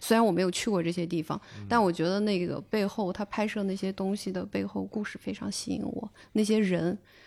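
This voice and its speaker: Heard in a very clean recording with a silent background, this is a plain, everyday voice with ordinary pitch variation. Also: woman. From Northwest China. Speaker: podcast host. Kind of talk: interview.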